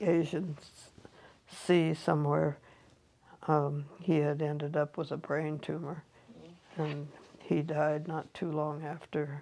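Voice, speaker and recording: A woman with a Western US accent and a very deep, low, dark, mellow voice speaks very slowly in a monotone, flat way, with long, frequent pauses. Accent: American, Western US. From Montana. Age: 80s+. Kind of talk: interview answer.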